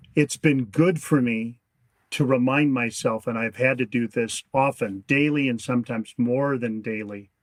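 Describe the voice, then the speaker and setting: A man with a normal speaking voice, medium pitch, fairly even intonation and a moderate pace. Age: 60s. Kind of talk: interview.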